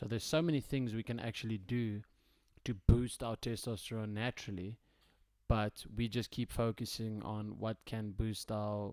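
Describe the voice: A man speaks at a fairly slow pace with a slightly mellow tone and little pitch movement.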